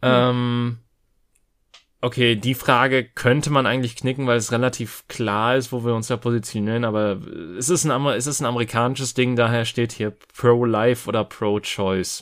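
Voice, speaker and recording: A man at medium pitch and a moderate pace, flat and monotone, with long, frequent pauses, on a very clean recording with a silent background. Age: 30s. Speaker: podcast host. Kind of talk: casual chat.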